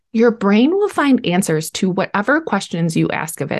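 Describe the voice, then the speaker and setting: An unremarkable speaking voice carries lively intonation. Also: woman. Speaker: podcast host and coach. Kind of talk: podcast interview, conversational.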